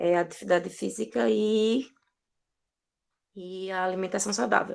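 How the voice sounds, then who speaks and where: In a plain, everyday voice, a woman talks at medium pitch with lively intonation. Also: fairly slow pace. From Brazilian Northeast. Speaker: social worker. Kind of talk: online talk circle.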